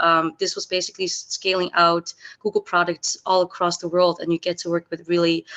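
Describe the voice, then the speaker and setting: A woman with a Dutch accent, fairly low-pitched, at a moderate pace, in a flat monotone with hardly any pauses. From Netherlands. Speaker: alumni panelist. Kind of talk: panel discussion. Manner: hesitant, many fillers.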